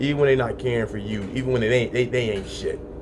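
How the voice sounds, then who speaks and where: A man with a medium pitch speaks with ordinary pitch variation. Audible room echo and noticeable background noise surround him. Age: 30s. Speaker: podcast host. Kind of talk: solo podcast monologue.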